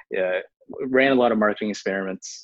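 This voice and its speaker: A man speaks with an American accent at a fairly low pitch. His intonation stays fairly even. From Houston, Texas, US. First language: Chinese. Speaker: tech startup founder and CEO. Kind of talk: casual interview.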